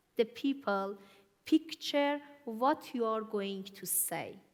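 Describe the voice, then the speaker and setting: With lively intonation, this woman's voice sits at a fairly high pitch. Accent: Iranian. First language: Farsi. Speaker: church speaker. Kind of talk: sermon.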